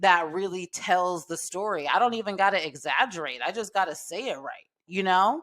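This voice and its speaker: A bright, sharp tone at a moderate pace, in a very clean recording with a silent background. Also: woman. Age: 30s. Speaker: podcast host. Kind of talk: casual monologue. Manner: laid-back.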